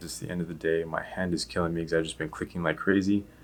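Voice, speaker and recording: Quiet and very deep, a man's low voice carries vocal fry. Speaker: vlogger and web designer. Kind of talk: casual vlog narration. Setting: office.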